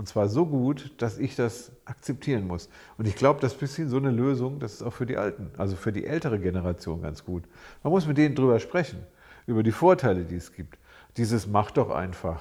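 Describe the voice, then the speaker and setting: A man's medium-pitched, somewhat breathy voice with a dark, mellow tone, very wide pitch swings and a fairly quick pace, on a very clean recording with a silent background. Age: 60s. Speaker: psychologist, podcast co-host. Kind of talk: casual chat.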